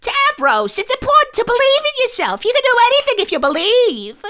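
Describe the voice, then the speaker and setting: This is a put-on character voice, squeaky and extremely high in pitch. It moves at a fairly quick pace. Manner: earnest, encouraging.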